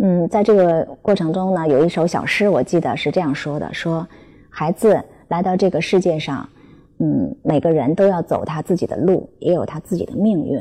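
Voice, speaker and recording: This woman has a dark, mellow tone and speaks at a moderate pace with ordinary pitch variation. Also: fairly low pitch for a woman. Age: 40s. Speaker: parenting educator. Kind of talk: talk to parents. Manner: hesitant fillers.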